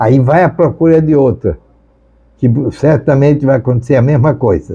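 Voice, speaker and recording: A man's somewhat breathy voice, dark and mellow in tone, at a fairly slow pace. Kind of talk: sermon.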